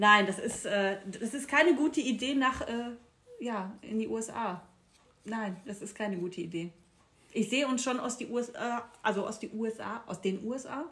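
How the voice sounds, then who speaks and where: With a slight Ruhr accent, a woman talks at a moderate pace and fairly high pitch, her tone animated, her pitch variation ordinary and her pauses long and frequent. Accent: slight Ruhrpott dialect slipping through. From Ruhr area, Castrop-Rauxel. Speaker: podcast co-host. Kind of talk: casual chat. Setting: at home. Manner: animated, frequent laughing.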